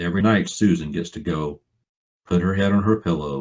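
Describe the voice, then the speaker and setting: With an Alabama accent, a man speaks at a moderate pace in a very deep, low pitch with ordinary pitch variation. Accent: US Southern (Alabama). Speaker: financial planning speaker, author. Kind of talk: seminar talk. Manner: folksy, informal.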